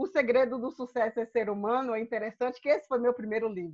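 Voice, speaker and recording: A woman speaks in a Bahian accent with high pitch. Her pitch variation is ordinary. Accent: Bahian accent, drawling. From Bahia, Brazil. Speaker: speaker and coach. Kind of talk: lecture. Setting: video call.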